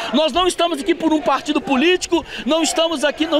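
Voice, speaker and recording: Against noticeable background noise, a man speaks at an extremely high pitch with ordinary pitch variation, the sound dry with no echo. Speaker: protester. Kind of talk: street protest interview answer. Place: street. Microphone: handheld.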